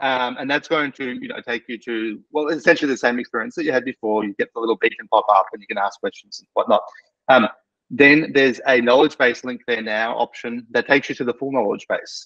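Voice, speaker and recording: A man with an Australian accent speaks at medium pitch in a bright, sharp tone, with ordinary pitch variation and big swings in loudness, the sound dry and close with no echo. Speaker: practice management software specialist. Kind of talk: casual product update chat. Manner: fast; many fillers and hesitations.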